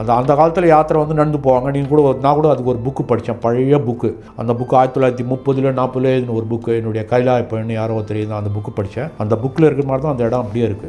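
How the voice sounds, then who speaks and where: Music plays in the background while a man talks. His medium-pitched voice keeps fairly even intonation. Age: 70s. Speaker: trekker and mountaineer. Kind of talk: interview answer. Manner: Tamil mixed with English.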